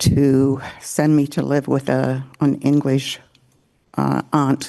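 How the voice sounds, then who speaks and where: A woman with an American accent speaks in a dark, mellow tone at a very deep, low pitch, with monotone, flat intonation. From Lake St. Clair area, Great Lakes (Chippewa, originally US). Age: 80s+. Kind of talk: ceremonial welcome speech.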